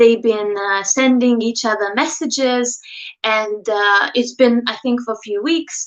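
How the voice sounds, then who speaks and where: A woman with a Lithuanian accent speaks at a fairly high pitch and a fairly slow pace, her intonation fairly even, against a quiet background. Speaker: dating coach YouTuber. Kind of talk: livestream talk to viewers. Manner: casual, hesitant with fillers.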